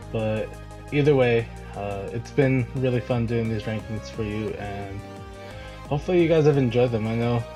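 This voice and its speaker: A man's voice with ordinary pitch variation and long, frequent pauses, set against music in the background. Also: medium pitch for a man, moderate pace. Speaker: Pokémon league analyst. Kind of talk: casual commentary to viewers.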